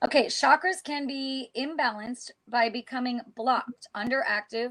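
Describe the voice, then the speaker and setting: This woman's voice sits high, with ordinary pitch variation and an animated tone. The sound is dry and close, with no echo. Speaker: essential oils and witchcraft show co-host. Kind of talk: casual chat. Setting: live stream. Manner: fast.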